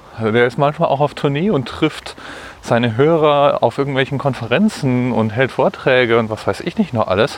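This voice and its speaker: Medium pitch from a man, delivered at a moderate pace with ordinary variation in pitch. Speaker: podcaster. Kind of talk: solo walking monologue podcast. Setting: outdoors, walking through the city. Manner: casual, slightly halting.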